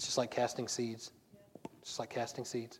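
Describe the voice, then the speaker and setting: A man talks at a very fast pace in a Southern US accent. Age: 40s. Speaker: pastor. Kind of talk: sermon. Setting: church. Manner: fast talker.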